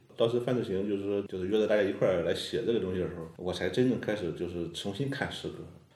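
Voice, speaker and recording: This man talks at a very fast pace in a fairly low pitch, with audible room echo around him. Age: young. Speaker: poet. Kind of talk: casual interview chat.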